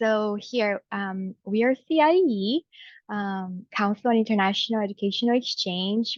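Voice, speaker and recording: Against a quiet background, with a dry, close sound and no echo, a woman with a Brazilian Portuguese accent speaks at a medium pitch and a fairly slow pace, with ordinary pitch variation. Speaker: enrollment coordinator at a study abroad organization. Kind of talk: webinar presentation. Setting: video call webinar.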